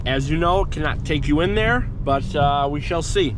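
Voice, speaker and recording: A man talks at a moderate pace, with noticeable background noise and audible room echo around him. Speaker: real estate agent vlogger. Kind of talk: casual vlog narration. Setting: in a car.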